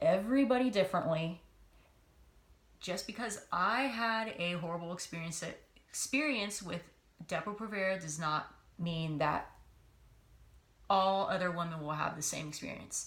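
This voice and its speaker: A woman with a medium pitch speaks somewhat breathily at a moderate pace, with lively intonation. Long, frequent pauses break it up, and room echo is audible. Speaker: vlogger. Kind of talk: personal testimony vlog. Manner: hesitant, many filler words.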